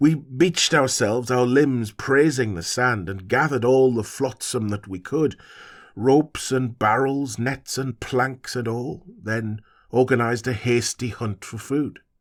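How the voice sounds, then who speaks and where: Delivered at a moderate pace, a croaky put-on character voice comes through on a very clean recording with a silent background. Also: man, medium pitch for a man. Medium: read story. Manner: sorrowful, archaic speech.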